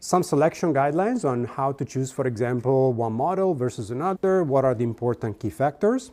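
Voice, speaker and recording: On a very clean recording with a silent background, a man talks at a moderate pace and medium pitch, dark and mellow in tone, with lively intonation. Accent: Italian. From Italy. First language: Italian. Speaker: sales engineering executive, workshop presenter. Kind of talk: conference workshop presentation. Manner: conversational, with frequent fillers and restarts.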